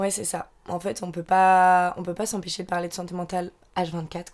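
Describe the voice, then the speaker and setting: A woman's fairly low-pitched voice keeps fairly even intonation at moderate speed. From Normandy, France. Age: 20s. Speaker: podcast co-host. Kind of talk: casual chat.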